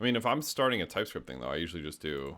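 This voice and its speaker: With a bright, sharp tone and vocal fry, a man mumbles at a fairly quick pace across very wide pitch swings. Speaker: live-coding streamer and developer educator. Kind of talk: live coding stream. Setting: live stream. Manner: mumbling; casual, halting with fillers.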